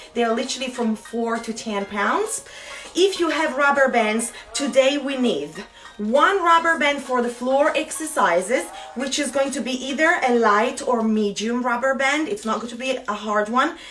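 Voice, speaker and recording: A woman speaks in a high pitch at a moderate pace, with lively intonation and an upbeat tone. Music plays in the background and room echo is audible. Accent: Italian. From Italy. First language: Italian. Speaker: fitness instructor. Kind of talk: live online fitness class. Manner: chatty, upbeat.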